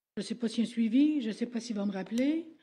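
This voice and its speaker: A woman speaks at a fairly slow pace in a fairly high pitch, her tone dark and mellow, with ordinary pitch variation. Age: 70s. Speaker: citizen addressing council. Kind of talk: public question period.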